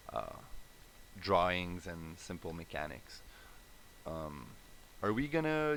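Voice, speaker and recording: Spoken at a very slow pace, this voice comes with a Quebec accent. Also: man. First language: French. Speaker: indie game developer. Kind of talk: live stream dev update. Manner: hesitant, many fillers.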